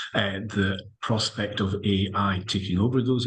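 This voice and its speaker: A man with a Scottish accent speaks in a fairly low voice. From Scotland. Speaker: lawyer, panellist. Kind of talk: panel discussion. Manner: halting, many fillers.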